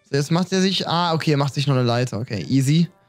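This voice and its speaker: Faint music sits in the background. Over it, a man talks. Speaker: streamer. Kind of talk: reaction commentary. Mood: amused, laughing. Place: home room. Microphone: studio mic.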